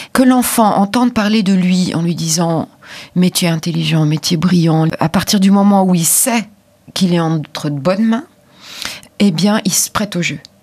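At a moderate pace, a woman talks in a normal speaking voice, her fairly low pitch showing ordinary pitch variation. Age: 50s. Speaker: author of children's grammar books. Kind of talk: interview.

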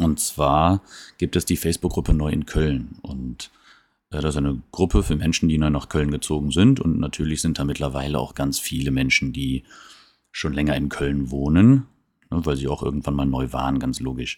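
The delivery has fairly even intonation and a moderate pace. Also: man, very deep, low pitch for a man. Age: 30s. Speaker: podcast host. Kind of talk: casual monologue. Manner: hesitant, many fillers.

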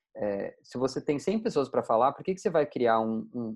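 Fairly quick in pace, a man speaks at medium pitch. He has a plain, everyday voice. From Brazil, interior of Mato Grosso. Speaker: tech company founder and CEO. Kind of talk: casual interview.

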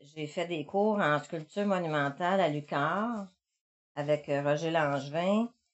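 Speaking at a very slow pace, a woman with a fairly low voice shows ordinary pitch variation. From Quebec, Montreal. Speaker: visual artist. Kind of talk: interview. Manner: halting.

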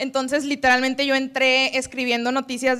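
Speaking at a fairly quick pace, a woman uses a raised, projected voice that is high-pitched, with a bright, sharp tone. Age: 20s. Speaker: public relations professional. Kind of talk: talk to a live audience. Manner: animated.

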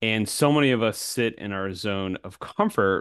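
A man with a normal speaking voice uses a fairly low pitch and lively intonation. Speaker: podcast host. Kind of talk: casual unscripted interview. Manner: casual, upbeat.

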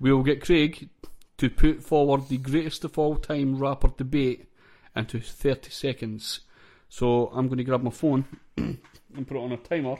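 A man with a Scottish accent speaks at a moderate pace in a medium pitch, his dark, mellow tone held in a flat monotone, on a very clean recording with a silent background. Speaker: podcast host. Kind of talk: casual chat.

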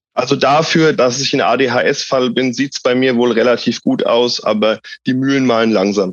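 In an ordinary speaking voice, a man talks at medium pitch and a moderate pace, with fairly even intonation and very even loudness. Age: 30s. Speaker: patient, social work student. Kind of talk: interview.

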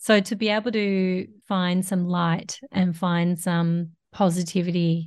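A woman with an Australian accent, a fairly low pitch, a somewhat breathy voice and monotone, flat intonation against a quiet background. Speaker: podcast host. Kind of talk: interview.

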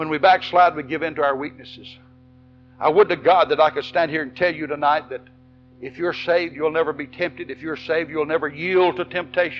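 A man's fairly high voice in a Tennessee accent, at a fairly quick pace, with music in the background. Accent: Southern US (Tennessee). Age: 60s. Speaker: Baptist pastor. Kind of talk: fiery revival-style Baptist sermon to an evening congregation. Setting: church service with congregation. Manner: impassioned, rhythmic preaching punctuated with Amen and repeated words; emphatic and animated, with stammered restarts and laughs.

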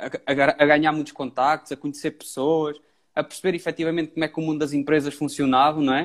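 Fairly high in pitch, a man's voice moves at a fairly quick pace. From Pombal, central Portugal. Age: 20s. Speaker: entrepreneur, digital marketer. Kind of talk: casual interview on a live stream.

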